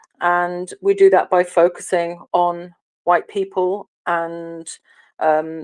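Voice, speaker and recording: With an English accent, the woman talks in a monotone, flat intonation. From England. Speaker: online audio room host. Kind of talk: political discussion. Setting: online audio room. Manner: hesitant, many fillers.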